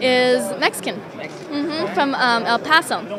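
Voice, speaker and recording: A woman with a high pitch speaks in a raised, projected voice at a fairly slow pace, her pitch varying in an ordinary way. Crowd noise and audible room echo fill the background. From US, Denver. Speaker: mixed martial arts fighter. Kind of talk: media day interview.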